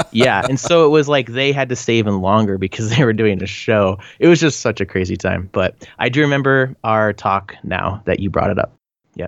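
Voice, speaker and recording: A man with a Canadian accent speaks at a fairly quick pace in an unremarkable speaking voice. His pitch is medium with ordinary variation, against a quiet background. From British Columbia, Canada. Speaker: band frontman. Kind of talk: casual interview chat.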